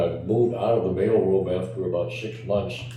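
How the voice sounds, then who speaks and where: A man with an American accent speaks fairly slowly in a fairly low voice with fairly even intonation. Audible room echo and noticeable background noise fill the recording. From US Midwest, Chicago. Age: 80s+. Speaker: retired organ company accountant. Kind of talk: interview.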